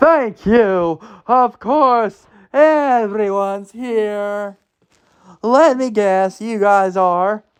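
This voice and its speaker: Against a quiet background, a man uses a high-pitched, put-on character voice at a very slow pace. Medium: read story. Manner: sugary, fake.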